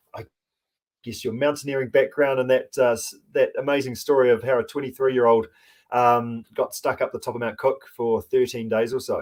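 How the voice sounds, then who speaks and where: A man speaks with a New Zealand accent at a moderate pace, in a very clean recording with a silent background. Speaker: podcast host. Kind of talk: podcast interview.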